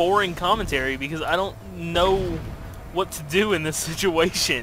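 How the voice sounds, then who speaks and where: A man delivers his words at a moderate speed and with lively intonation, while noticeable background noise is present. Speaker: gaming YouTuber. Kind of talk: gameplay commentary, narrating own PvP match. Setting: recorded gameplay video, voiceover. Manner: casual, self-deprecating, focused, mumbling asides.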